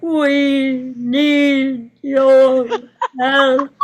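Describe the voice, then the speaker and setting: In a put-on character voice, the speaker holds a high pitch with a monotone, flat intonation. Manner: slow, drawn-out, pleading.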